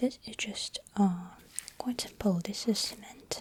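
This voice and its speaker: Soft-spoken, the man talks at a very slow pace. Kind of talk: ASMR dentist roleplay.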